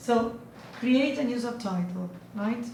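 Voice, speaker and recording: Someone with a non-native accent speaks at a fairly slow pace, with audible room echo. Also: woman. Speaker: student giving a class presentation. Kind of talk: presentation. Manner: halting, many fillers.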